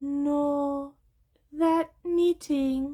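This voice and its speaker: A female-sounding voice does a put-on character voice, high in pitch and monotone, flat in intonation. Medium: read story. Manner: calm, terse.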